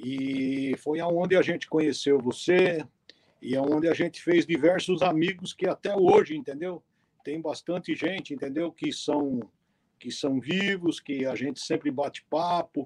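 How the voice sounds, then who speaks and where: Here is an unremarkable speaking voice from a man with a fairly high pitch. He goes at a fairly slow pace with ordinary pitch variation. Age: 60s. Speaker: mule breeder and horseman. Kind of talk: casual interview on a live stream.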